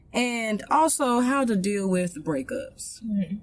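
Someone with an American accent talks at a fairly slow pace over noticeable background noise. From Texas. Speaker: podcast co-host. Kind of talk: casual chat.

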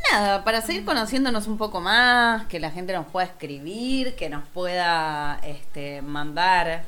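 A woman's bright, sharp voice in a Rioplatense accent, fairly slow with hardly any pauses and very wide pitch swings. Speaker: podcast co-host. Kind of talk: casual chat.

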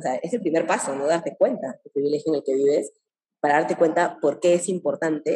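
With ordinary pitch variation and a moderate pace, an ordinary speaking voice is heard. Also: woman. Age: 30s. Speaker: entrepreneur. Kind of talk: interview.

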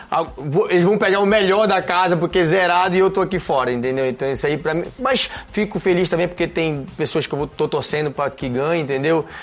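Over noticeable background noise, a man with a high voice talks at a fairly quick pace with ordinary pitch variation. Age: 30s. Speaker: reality show contestant, former footballer. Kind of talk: interview. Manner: halting.

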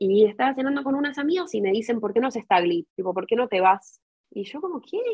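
A woman speaks at a very fast pace. Her fairly high voice makes very wide pitch swings. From Argentina, Buenos Aires. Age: 20s. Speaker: university student and language school worker. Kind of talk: interview.

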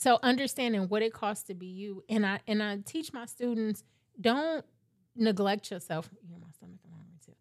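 On a very clean recording with a silent background, a woman with an ordinary speaking voice speaks at a moderate pace and fairly high pitch, with ordinary pitch variation and big swings in loudness. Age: 40s. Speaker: tax business owner. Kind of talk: casual chat.

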